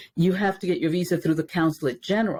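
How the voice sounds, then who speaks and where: On a very clean recording with a silent background, a woman speaks at medium pitch with a Spanish accent. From Dominican Republic, raised in New York. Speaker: race educator. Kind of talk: interview. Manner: many fillers and repetitions.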